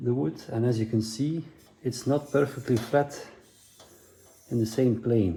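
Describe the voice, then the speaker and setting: A man speaks at a fairly slow pace in a medium-pitched voice, with long, frequent pauses. His loudness stays very even, and his pitch varies in an ordinary way. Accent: Dutch. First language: Dutch. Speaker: motorcycle builder. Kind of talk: DIY tutorial talk to camera. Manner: hesitant, casual.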